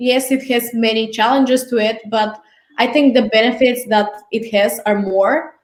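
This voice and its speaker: With a Bulgarian accent, a woman speaks at a moderate pace in a fairly high pitch, her intonation fairly even and her loudness very even. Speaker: marketing specialist. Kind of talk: casual interview.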